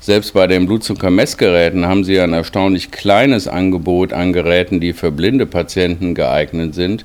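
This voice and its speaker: Over noticeable background noise, a man with a very deep, low pitch speaks at a moderate pace, with very even loudness, fairly even intonation and hardly any pauses. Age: 50s. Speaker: diabetes researcher, professor. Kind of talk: interview. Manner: formal.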